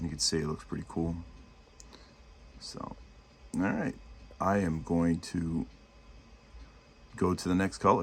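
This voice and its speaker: In a New York accent, a man speaks with a very deep, low pitch and ordinary pitch variation. He goes at a fairly slow pace with long, frequent pauses. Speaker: miniature painting youtuber. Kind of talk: painting tutorial. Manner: casual, halting with fillers.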